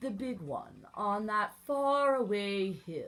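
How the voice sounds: Pitch rises and falls in an ordinary way in this natural reading voice.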